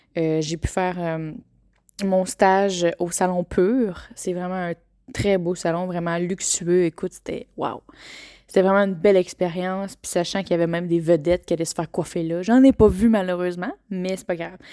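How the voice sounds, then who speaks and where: A woman's dark, mellow voice with a Quebec accent, fairly low in pitch, at a moderate pace with fairly even intonation and big swings in loudness, on a very clean recording with a silent background and a dry, close sound with no echo. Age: 20s. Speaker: podcaster. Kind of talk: personal testimony. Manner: hesitant with many fillers.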